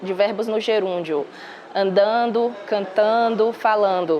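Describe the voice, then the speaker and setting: A woman's fairly high voice shows ordinary pitch variation as noticeable background noise carries on. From Salvador, Bahia, Brazil. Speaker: news reporter. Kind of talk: interview.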